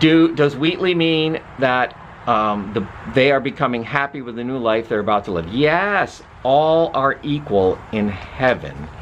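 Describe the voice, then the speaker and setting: The speech moves at a fairly slow pace with lively intonation over noticeable background noise. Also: man, medium pitch for a man. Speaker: literature professor. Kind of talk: lecture. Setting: outdoors. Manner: animated.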